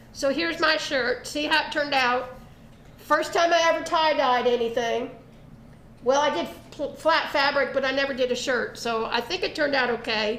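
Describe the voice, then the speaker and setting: A woman with a Southern US accent, high-pitched, at a moderate pace, with ordinary pitch variation and audible room echo. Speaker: arts and crafts show host. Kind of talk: casual chat.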